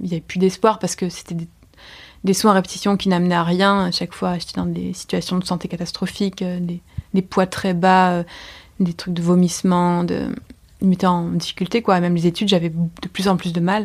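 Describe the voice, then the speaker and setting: Somewhat breathy, a woman speaks at a fairly low pitch with monotone, flat intonation. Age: 30s. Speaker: artist and slam poet. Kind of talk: testimony. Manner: fast; halting.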